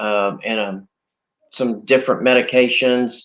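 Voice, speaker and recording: A man at a fairly slow pace, medium in pitch with ordinary pitch variation, in a normal speaking voice. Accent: American. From Oklahoma. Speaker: COVID-19 survivor. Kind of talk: interview testimony.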